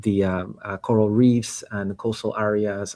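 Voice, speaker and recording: A man speaks at a moderate pace with a Panamanian accent, his pitch fairly low. His intonation stays flat and monotone against a quiet background. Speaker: startup founder and CEO. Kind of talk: interview. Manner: halting, many fillers and repetitions.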